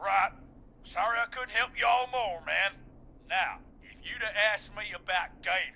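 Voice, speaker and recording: Putting on a drawling character voice, a man speaks at a high pitch and a moderate pace with fairly even intonation and long, frequent pauses. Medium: video game. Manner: casual, drawling, says "man" a lot.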